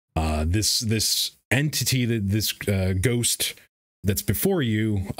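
An unforced reading voice with ordinary pitch variation over a quiet background.

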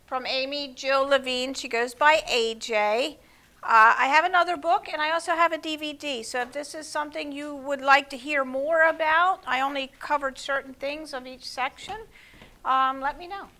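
Her voice is raised and projected, delivered at a moderate pace. The woman's pitch varies in an ordinary way. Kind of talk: church group talk. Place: hall.

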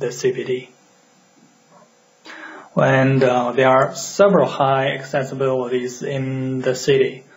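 A man with a non-native accent speaks at a very slow pace with fairly even intonation. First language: non-native English speaker. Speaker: urban planning educator. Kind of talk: educational lecture.

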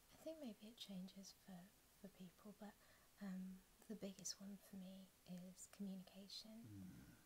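A soft-spoken voice at a fairly slow pace, with light background noise. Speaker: guest. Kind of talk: ASMR ramble, soft spoken conversation, whispered. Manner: gentle, reflective, soothing. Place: home room. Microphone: studio mic.

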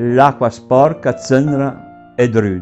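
A man speaks very slowly with an Emilian accent. His pitch varies in an ordinary way, with music playing behind him. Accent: local Emilian dialect of Varsi. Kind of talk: dialect poetry reading.

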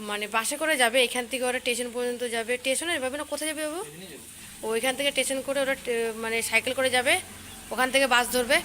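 Against noticeable background noise, a woman with a high pitch projects a raised voice with fairly even intonation. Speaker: vlogger. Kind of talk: daily-life vlog narration.

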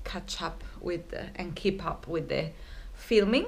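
Fairly slow speech from a woman. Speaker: travel vlogger. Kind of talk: casual vlog chat. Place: home room. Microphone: phone near.

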